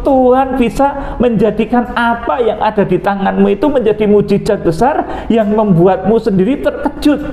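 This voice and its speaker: A man speaks at an extremely high pitch. Noticeable background noise is present. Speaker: pastor. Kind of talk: sermon. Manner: sometimes tongue-tied, stumbling.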